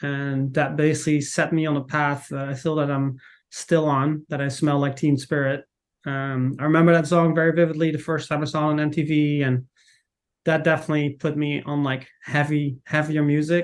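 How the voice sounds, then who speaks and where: Someone with a Dutch accent speaks at a moderate pace in a monotone, flat intonation. The background is quiet. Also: man, fairly high pitch for a man. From Netherlands. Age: 40s. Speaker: footwear marketing manager. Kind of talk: casual interview chat.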